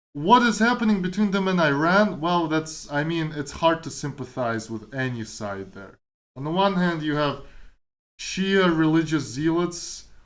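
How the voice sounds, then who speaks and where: A man with a Kazakh accent talks at a moderate pace. His pitch is fairly high and his intonation lively. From Kazakhstan. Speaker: streamer and programmer. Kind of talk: casual chat. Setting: live stream.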